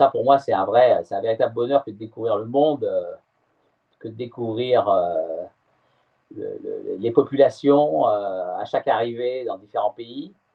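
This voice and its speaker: A man's fairly slow speech with big swings in loudness. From France, Brittany (Morbihan). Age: 60s. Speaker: sailor. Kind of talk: interview. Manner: halting, many hesitations.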